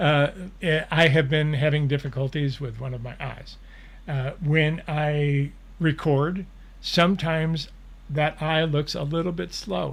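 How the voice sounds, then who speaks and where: With fairly even intonation, a man talks in a somewhat breathy voice at a fairly high pitch. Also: fairly slow pace. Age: 70s. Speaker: spiritual channeler and show host. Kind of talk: live Q&A, reading and answering viewer questions. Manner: casual, conversational.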